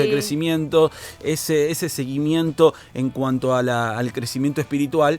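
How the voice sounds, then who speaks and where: A man's fairly high-pitched voice with fairly even intonation, over noticeable background noise. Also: moderate pace. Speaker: podcast host and radio announcer. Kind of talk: podcast interview, host asking questions.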